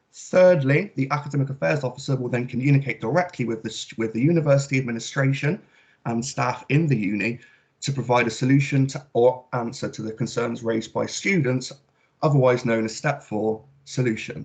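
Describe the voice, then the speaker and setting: Speaking at a fairly quick pace, a man sounds somewhat breathy. His pitch is medium, with ordinary variation. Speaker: student election candidate. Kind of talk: campaign speech.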